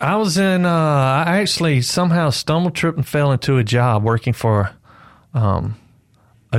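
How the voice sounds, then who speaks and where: Lively intonation is heard at a moderate pace on a very clean recording with a silent background. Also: man. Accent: Mississippi. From Mississippi. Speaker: novelist. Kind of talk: radio interview. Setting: studio.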